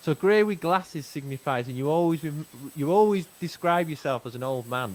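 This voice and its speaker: With a Manchester accent, a man at a fairly high pitch talks at a fairly quick pace with lively intonation. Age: 40s. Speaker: podcast host. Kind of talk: casual chat.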